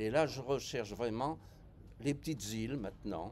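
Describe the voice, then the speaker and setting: Vocal fry runs through a man's speech. He goes fairly slowly, with lively intonation. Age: 70s. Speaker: veteran cruise passenger. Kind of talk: interview. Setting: travel fair.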